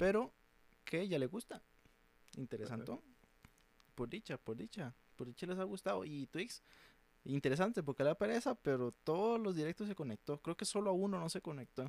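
A man talks at a moderate pace with a fairly high pitch and very wide pitch swings, leaving long, frequent pauses. The sound is dry and close, with no echo. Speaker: podcast host. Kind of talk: casual chat.

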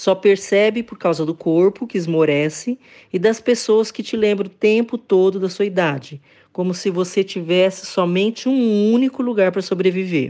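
An unremarkable speaking voice belongs to a woman at a medium pitch. She talks at a moderate pace with ordinary pitch variation. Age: 60s. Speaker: content writer. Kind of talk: testimony.

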